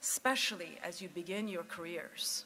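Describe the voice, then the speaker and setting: A woman speaks at a fairly slow pace with a non-native accent. Her pitch is medium. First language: not English. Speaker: commencement speaker, former news executive. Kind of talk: commencement speech.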